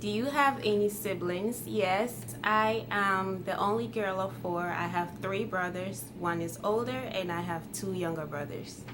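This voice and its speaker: A woman with a Ghanaian accent, medium pitch and lively intonation, a fairly slow pace with hardly any pauses, audible room echo and noticeable background noise. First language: Twi. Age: 20s. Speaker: YouTuber. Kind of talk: casual vlog Q&A.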